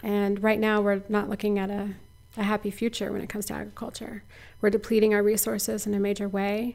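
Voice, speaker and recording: A woman speaks at a very fast pace with an American accent. Her intonation is monotone and flat. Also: medium pitch for a woman. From US Midwest, Missouri. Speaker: local food nonprofit director. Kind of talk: interview. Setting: outdoors at an orchard.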